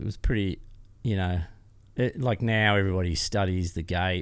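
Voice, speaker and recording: Speaking with an Australian accent, a man uses a fairly low pitch and ordinary pitch variation. He talks at a moderate pace in a very clean recording with a silent background. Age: 60s. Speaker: off-road motorcycle racer and business founder. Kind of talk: interview answer, storytelling.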